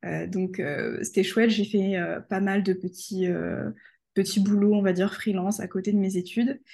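In a quiet background, a woman speaks at a moderate pace and medium pitch, her dark, mellow tone somewhat breathy and her intonation monotone and flat. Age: 20s. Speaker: freelance photographer and customer care employee. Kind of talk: casual interview.

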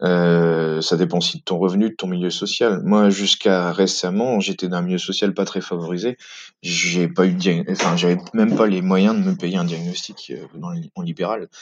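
Fairly even intonation marks this man's very deep, low voice. He speaks at a moderate pace. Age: 30s. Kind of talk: testimony. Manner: halting.

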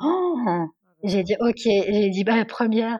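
A somewhat breathy woman is captured in a dry, close sound with no echo. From Normandy, France. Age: 30s. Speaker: HR assistant. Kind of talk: testimony.

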